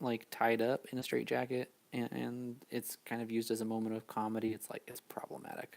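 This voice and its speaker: A man talks in a monotone, flat intonation. He hardly pauses at all. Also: medium pitch for a man, fairly quick pace. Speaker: YouTuber. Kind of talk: live stream commentary.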